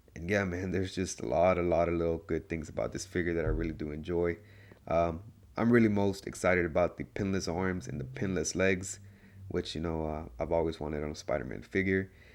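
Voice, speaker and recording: A man talks at a fairly quick pace with a very deep, low pitch, ordinary pitch variation and vocal fry. The recording is very clean, with a silent background. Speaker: toy reviewer. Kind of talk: casual talk to camera. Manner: casual, enthusiastic.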